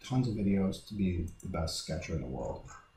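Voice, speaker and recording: A man with a dark, mellow, somewhat breathy tone speaks with ordinary pitch variation amid audible room echo. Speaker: real estate appraiser giving a software tutorial. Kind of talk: tutorial. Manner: fast.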